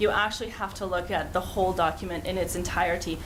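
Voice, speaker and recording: Delivered at a fairly quick pace with ordinary pitch variation, the speech carries audible room echo and noticeable background noise. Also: woman. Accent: Canadian. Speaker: urban planning consultant. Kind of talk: council presentation. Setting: council chamber meeting.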